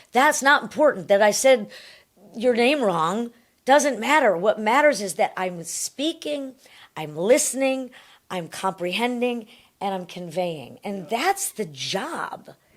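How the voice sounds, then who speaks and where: This woman's pitch swings very widely. She speaks fairly slowly. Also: fairly high pitch for a woman. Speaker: TV news anchor. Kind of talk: podcast interview answer.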